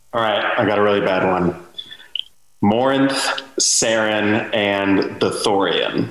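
A man talks very slowly at a fairly low pitch, with very even loudness and fairly even intonation. Noticeable background noise runs underneath. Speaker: panel participant, gaming fan. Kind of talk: casual chat.

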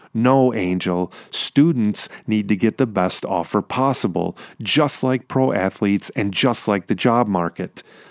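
A man with a fairly low pitch and ordinary pitch variation talks at a fairly slow pace with hardly any pauses. The recording is very clean, dry and close, with a silent background and no echo. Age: 40s. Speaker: podcast host. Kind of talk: solo podcast monologue. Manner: animated.

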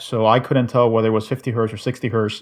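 The speaker is male. His words come in a Spanish accent. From Cuba. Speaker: podcast guest, gamer. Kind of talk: casual chat.

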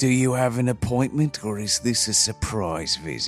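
A man's put-on character voice at a medium pitch and moderate pace, with clear music in the background. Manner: gruff, suspicious.

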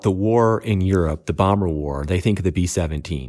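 A man with an ordinary speaking voice talks at a moderate pace. His fairly low pitch carries lively intonation. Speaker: podcast co-host. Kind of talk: casual chat.

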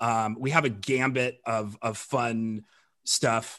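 With an American accent, a man talks in a bright, sharp tone over a quiet background. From Colorado, US. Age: 40s. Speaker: film director and podcast host. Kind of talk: casual chat.

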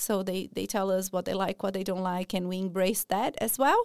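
On a very clean recording with a silent background and a dry, close sound with no echo, a woman speaks at a medium pitch with a Portuguese accent. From Brazil, São Paulo. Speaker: early childhood educator. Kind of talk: radio interview. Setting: studio.

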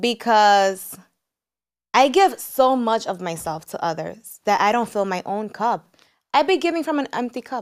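Loud and animated, a woman speaks at a fairly slow pace with a fairly high pitch and very wide pitch swings. The recording is very clean, with a silent background. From United States, Dominican family. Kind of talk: casual interview.

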